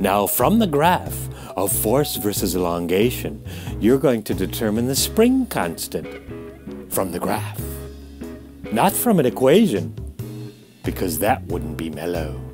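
Clear background music behind a man's fairly low voice, fairly slow and broken by long, frequent pauses. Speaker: physics teacher. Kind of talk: lab instructions lecture. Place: home room.

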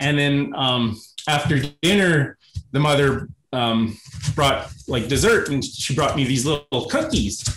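This man talks at a fairly slow pace with a fairly high pitch, ordinary pitch variation and very even loudness. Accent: western Canadian. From rural Alberta, Canada. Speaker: YouTube comedy creator, former cruise ship worker. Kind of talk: casual interview chat.

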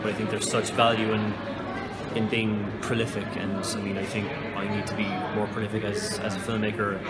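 There is loud background noise behind the speaker. A man talks at a moderate pace. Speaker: interviewee. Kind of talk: interview answer. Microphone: phone near.

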